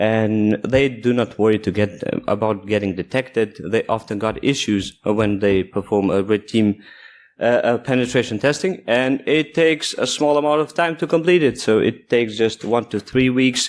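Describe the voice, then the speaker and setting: In a very clean recording with a silent background, a man with a non-native accent speaks at a moderate pace and very even loudness. His pitch is medium with ordinary variation. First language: not English. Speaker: security engineer, conference speaker. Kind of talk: conference talk.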